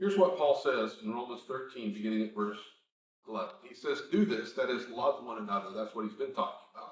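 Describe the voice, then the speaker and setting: There is audible room echo as a man talks at a very fast pace. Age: 60s. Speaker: preacher. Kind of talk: sermon.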